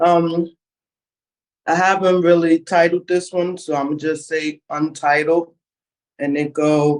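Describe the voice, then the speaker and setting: A man speaks in a high pitch with monotone, flat intonation. His pace is fairly slow, broken by long, frequent pauses. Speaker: formerly incarcerated poet. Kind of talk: poetry reading.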